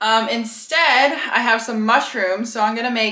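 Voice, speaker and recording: A woman's voice at a fairly slow pace, with audible room echo and a quiet background. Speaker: home cooking vlogger. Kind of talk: casual vlog chat. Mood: cheerful, laughing. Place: kitchen. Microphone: phone near.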